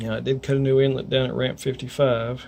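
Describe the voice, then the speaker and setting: A man with a coastal North Carolina accent at a moderate pace. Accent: US Southern, coastal North Carolina. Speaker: weather vlogger. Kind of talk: casual video update. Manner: rambling, halting.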